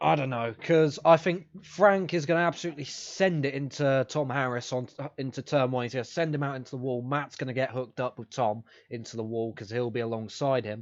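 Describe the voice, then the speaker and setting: Talking at a fairly quick pace with a British accent, the man has a medium pitch and ordinary pitch variation. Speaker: podcast host. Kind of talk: casual chat. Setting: live stream. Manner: halting.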